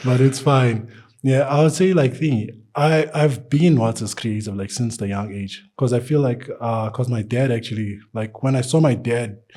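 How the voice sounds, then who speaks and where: This man speaks at a moderate pace with hardly any pauses, his pitch medium and its variation ordinary. His tone is dark and mellow, somewhat breathy. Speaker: artist. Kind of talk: casual interview. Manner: halting, many fillers; stutters at times.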